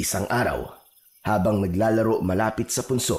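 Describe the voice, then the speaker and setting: A man's voice is somewhat breathy. He speaks at a fairly slow pace. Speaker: voiceover narrator. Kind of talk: horror story narration.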